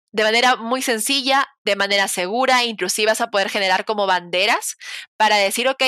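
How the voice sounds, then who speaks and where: A woman with a plain, everyday voice, medium pitch and ordinary pitch variation at a moderate pace, in a very clean recording with a silent background and a dry, close sound with no echo. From Peru (provinces). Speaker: cloud engineer. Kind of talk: interview conversation.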